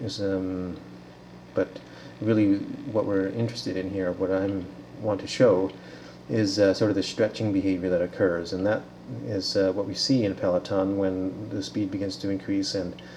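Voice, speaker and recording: Noticeable background noise runs through the clip. The voice has ordinary pitch variation. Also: man, fairly low pitch for a man. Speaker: researcher demonstrating a simulation. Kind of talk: software demonstration. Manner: fast; halting, many fillers.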